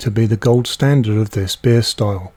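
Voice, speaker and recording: Speaking with a British accent, a man has a dark, mellow, somewhat breathy voice. He keeps a moderate pace with ordinary pitch variation. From Britain. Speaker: homebrewing youtuber. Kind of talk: scripted narration. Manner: formal.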